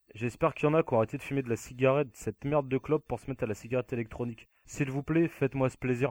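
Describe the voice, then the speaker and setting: Over a very clean recording with a silent background and a dry, close sound with no echo, a man talks at a very fast pace with hardly any pauses, at medium pitch and with fairly even intonation. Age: 20s. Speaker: podcast co-host. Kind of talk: casual chat.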